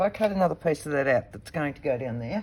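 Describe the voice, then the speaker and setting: Australian-accented speech from a woman. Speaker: papercraft video host. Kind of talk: crafting tutorial, thinking aloud. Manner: casual, talking to herself.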